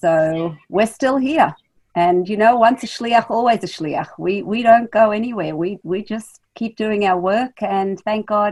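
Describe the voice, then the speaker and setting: Here a woman speaks with an Australian accent at a medium pitch. Her pace is fairly slow, with ordinary pitch variation. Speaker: rabbi's wife and community emissary. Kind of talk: interview.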